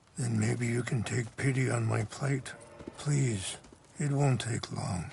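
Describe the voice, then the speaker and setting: A man's raspy, put-on character voice at a medium pitch and a fairly slow pace. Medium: video game. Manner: calm, measured.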